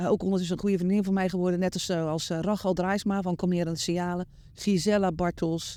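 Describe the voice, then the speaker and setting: Her dark, mellow voice stays monotone and flat as the woman speaks at a very fast pace in a very clean recording with a silent background. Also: medium pitch for a woman. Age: 60s. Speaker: horse behaviour instructor. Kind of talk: interview answer.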